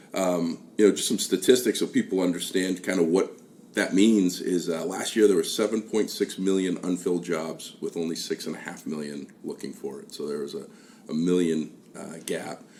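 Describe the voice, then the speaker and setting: Delivered at a moderate pace, the voice shows big swings in loudness against noticeable background noise. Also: man. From New England, south of Boston. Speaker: podcast host. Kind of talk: casual interview chat.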